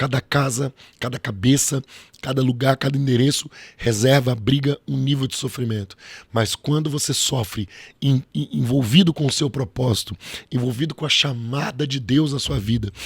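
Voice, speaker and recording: The somewhat breathy voice moves at a moderate pace with ordinary pitch variation, recorded with a dry, close sound and no echo. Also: man, medium pitch for a man. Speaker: pastor. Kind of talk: preaching-style interview talk. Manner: emphatic, rhetorical.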